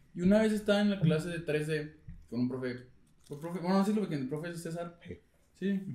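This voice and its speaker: With a Mexican accent, a man with a high voice talks at a fairly quick pace and ordinary pitch variation, taking long, frequent pauses amid audible room echo. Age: 20s. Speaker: podcast co-host. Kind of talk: casual chat.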